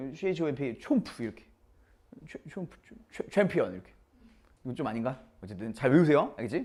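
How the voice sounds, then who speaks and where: At a fairly quick pace, a man talks with a dark, mellow tone and vocal fry. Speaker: science teacher. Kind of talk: lecture. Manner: casual, mixing polite and informal speech.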